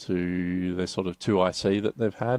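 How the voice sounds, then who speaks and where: A man with an Australian accent talks at a moderate pace in a very deep, low voice with monotone, flat intonation. The sound is dry and close with no echo, and the background is quiet. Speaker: business advisor. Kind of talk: podcast interview. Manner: halting.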